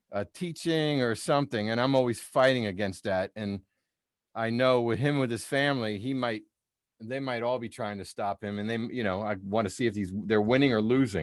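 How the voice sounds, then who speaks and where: A man has an unremarkable speaking voice at a medium pitch. He talks at a moderate pace with ordinary pitch variation. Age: 60s. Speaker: musician and music teacher. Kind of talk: casual chat. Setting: video call.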